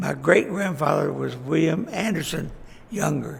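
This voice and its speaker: A man with a Texan accent at a fairly slow pace, amid noticeable background noise and audible room echo. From Texas, Fort Worth. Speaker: local elder recounting life history. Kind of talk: oral history interview. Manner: halting.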